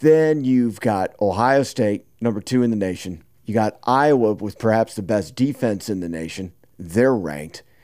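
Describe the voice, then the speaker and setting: With a fairly low pitch and lively intonation, a man speaks at a fairly slow pace in an unremarkable speaking voice. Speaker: podcast co-host. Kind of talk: casual sports chat.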